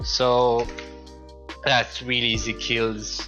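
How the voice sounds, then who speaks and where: A man's voice with music playing in the background. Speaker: gamer, tutorial maker. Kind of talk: game tutorial voice-over. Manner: casual.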